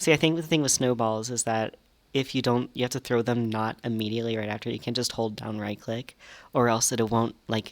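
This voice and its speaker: Soft-spoken, a man talks at a medium pitch on a very clean recording with a silent background. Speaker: gaming youtuber. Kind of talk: gameplay commentary. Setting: small library study room. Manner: halting.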